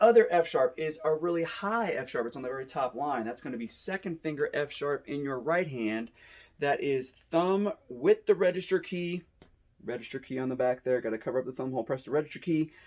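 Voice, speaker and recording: This man talks at a fairly quick pace, his fairly high pitch moving in lively intonation. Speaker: school band teacher. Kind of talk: tutorial. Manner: fast.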